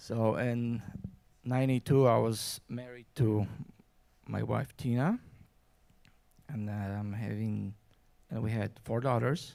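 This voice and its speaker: The speaker has a Polish accent and a dark, mellow tone, with fairly even intonation. Delivery is very slow, with long, frequent pauses. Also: man, medium pitch for a man. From Poland. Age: 50s. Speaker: guest speaker. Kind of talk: personal story. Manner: halting.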